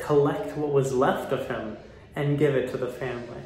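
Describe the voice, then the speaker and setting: Male speech at a moderate pace with audible room echo and light background noise. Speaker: commentary vlogger. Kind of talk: commentary. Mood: mocking, animated. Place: bathroom. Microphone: phone near.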